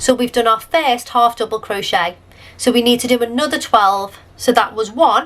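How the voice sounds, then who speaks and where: Here a woman speaks in a British accent at a high pitch. Her pace is moderate, with ordinary pitch variation. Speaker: crochet tutorial creator. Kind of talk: tutorial.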